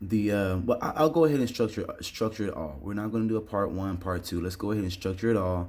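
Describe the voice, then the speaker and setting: A man's fairly low voice at a very fast pace, with ordinary pitch variation. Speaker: online English instructor. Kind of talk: tutorial. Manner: casual with filler words.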